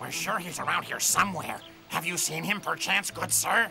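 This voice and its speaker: With clear music in the background, a man uses a cartoonish character voice at a moderate pace. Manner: greedy, lazy.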